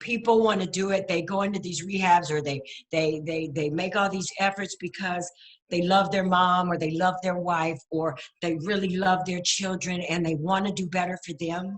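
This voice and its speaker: With a normal speaking voice, this woman keeps a medium pitch, a moderate pace and fairly even intonation. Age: 60s. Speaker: recovering addict sharing story. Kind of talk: testimony.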